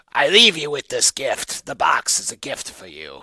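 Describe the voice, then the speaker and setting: In a raspy, put-on character voice, a man speaks at a moderate pace. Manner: creepy, ominous.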